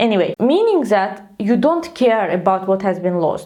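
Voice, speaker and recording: A woman with a non-native accent speaks in a fairly high voice with lively intonation. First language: not English. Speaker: tech educator. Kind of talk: tutorial. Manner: slow.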